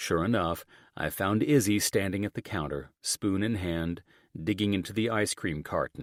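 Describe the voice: Ordinary pitch variation in plain reading aloud.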